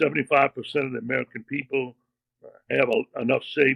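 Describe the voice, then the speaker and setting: Speaking at a fairly quick pace, a man of medium pitch keeps a fairly even intonation in a dry, close sound with no echo. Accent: Louisiana. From Louisiana. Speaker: retired bank executive and author. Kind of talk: interview conversation. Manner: casual, folksy.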